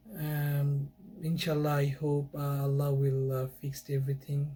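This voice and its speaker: A man's fairly high voice carries over music in the background. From Bangladesh. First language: Bengali. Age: 20s. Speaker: YouTuber. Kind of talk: casual monologue. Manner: halting.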